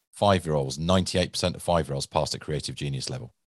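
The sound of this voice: A man with a very deep, low pitch and vocal fry talks at a fairly quick pace. His pitch varies in an ordinary way, and the background is quiet. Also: dry, close sound with no echo.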